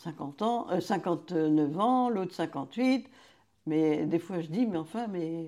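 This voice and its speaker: Recorded very cleanly against a silent background, a woman speaks with a dark, mellow tone. Her pitch is fairly low, with ordinary variation. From France, Vendée. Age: 80s+. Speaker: retired childminder, grandmother. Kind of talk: life story interview.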